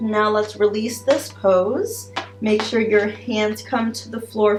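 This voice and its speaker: Over music in the background, a woman talks at a very slow pace in a calm, soothing tone. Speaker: yoga video creator. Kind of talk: guided yoga instruction. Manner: halting with repetitions.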